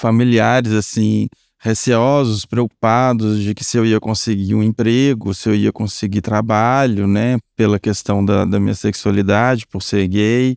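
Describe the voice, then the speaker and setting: At a fairly slow pace, a man talks in a fairly low, monotone, flat voice, recorded very cleanly against a silent background with a dry, close sound and no echo. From rural Minas Gerais, Brazil. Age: 30s. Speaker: business risk analyst. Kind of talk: casual chat.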